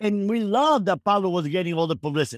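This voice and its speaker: Here a man talks at a very fast pace and high pitch, with a dry, close sound with no echo on a very clean recording with a silent background. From Cuba. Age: 60s. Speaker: former drug trafficker turned speaker. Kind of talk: interview, personal storytelling.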